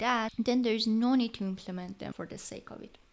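A woman speaks with an Iranian accent at a fairly high pitch. Her intonation is fairly even. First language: Persian. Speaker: podcast host, lighting designer. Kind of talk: scripted narration.

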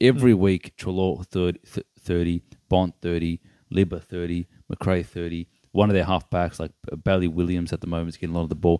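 With an Australian accent and a dark, mellow tone, the speech moves at a moderate pace with fairly even intonation in a dry, close sound with no echo. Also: man, very deep, low pitch for a man. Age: 20s. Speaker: sports podcast co-host. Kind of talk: casual chat.

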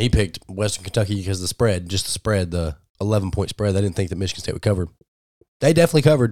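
The speaker talks at a very fast pace in a Southern US accent. Pitch varies in an ordinary way. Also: man, fairly low pitch for a man. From Arkansas. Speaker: sports podcast host. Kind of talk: casual sports chat.

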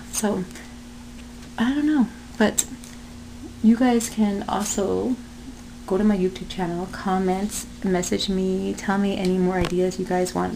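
Over noticeable background noise, a woman talks at a fairly slow pace with a medium pitch. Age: 30s. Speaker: podcaster and aspiring stand-up comedian. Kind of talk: casual solo podcast monologue, self-deprecating humor. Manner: rambling, easily distracted, jokey, with many fillers; self-deprecating, animated.

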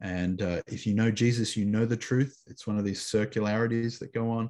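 Speaking with an Australian accent, a man talks at a moderate pace and medium pitch with fairly even intonation against a quiet background. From Australia (Canberra). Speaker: New Testament scholar. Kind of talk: interview on biblical studies. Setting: remote call.

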